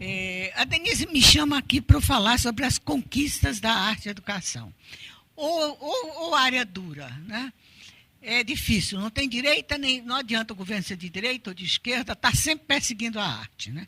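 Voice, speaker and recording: A woman's fairly high voice with big swings in loudness. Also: lively intonation, moderate pace. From Brazil, Pernambuco (Recife). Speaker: art educator and researcher. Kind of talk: lecture. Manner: halting, many repetitions.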